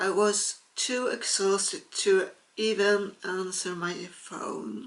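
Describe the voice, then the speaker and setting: Her pace is very slow, and her pitch is medium for a woman. She speaks with flat, monotone intonation. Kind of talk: casual talk to camera.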